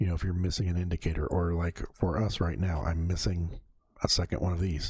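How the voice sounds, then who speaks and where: A man with a very deep, low voice speaks at a moderate pace, sounding somewhat breathy. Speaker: gaming youtuber. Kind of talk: casual gameplay commentary. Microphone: new USB condenser mic, bass dialed down.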